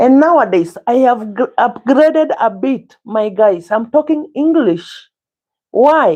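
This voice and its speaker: A woman's high-pitched voice with a dark, mellow tone at a fairly slow pace, over a quiet background. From Kenya (Central). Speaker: cooking vlogger. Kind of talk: casual cooking livestream chat. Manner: halting.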